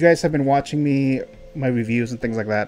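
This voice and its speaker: A man's voice with ordinary pitch variation over faint background music. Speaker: movie reviewer. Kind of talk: review commentary. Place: home room.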